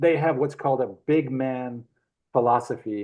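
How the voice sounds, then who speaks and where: A man at medium pitch and a fairly slow pace. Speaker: traveler and artist, gold prospector. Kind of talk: interview storytelling. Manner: animated.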